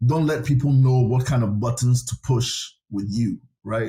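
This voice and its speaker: The tone is dark and mellow, somewhat breathy. Delivery moves at a moderate pace. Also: man. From Ghana. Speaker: government chief of staff. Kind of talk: interview.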